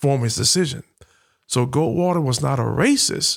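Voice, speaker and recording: A man with a Southern US accent talks at a fairly quick pace. The recording is very clean, with a silent background. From Alabama, Huntsville. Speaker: military veteran and education nonprofit founder. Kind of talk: podcast interview.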